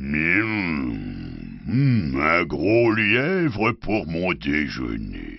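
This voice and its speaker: A man growls in a put-on character voice with a very deep, low pitch and very wide pitch swings. He goes at a very slow pace with hardly any pauses. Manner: growling, menacing.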